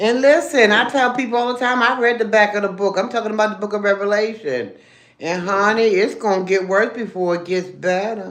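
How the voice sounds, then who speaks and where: Amid noticeable background noise and audible room echo, a woman speaks in an animated tone at a fairly quick pace, with a medium pitch and ordinary pitch variation. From Baltimore, Maryland. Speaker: livestreamer. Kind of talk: casual livestream chat. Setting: live stream while eating.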